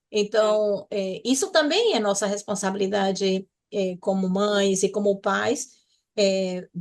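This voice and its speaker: A woman is speaking. Her pace is very slow. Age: 60s. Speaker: podcast co-host. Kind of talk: casual chat. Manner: halting.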